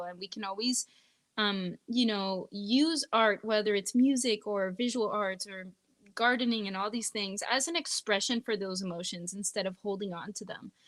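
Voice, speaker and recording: With a slight French Canadian accent, the speaker goes at a moderate pace with ordinary pitch variation in a dry, close sound with no echo. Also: woman. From northeastern Ontario, Canada. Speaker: singer-songwriter. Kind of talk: interview conversation.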